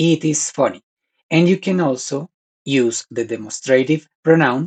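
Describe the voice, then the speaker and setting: A man's somewhat breathy voice with a Spanish accent, fairly high pitch, ordinary pitch variation and a fairly slow pace, in a dry, close sound with no echo. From Colombia. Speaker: language teacher. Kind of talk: tutorial.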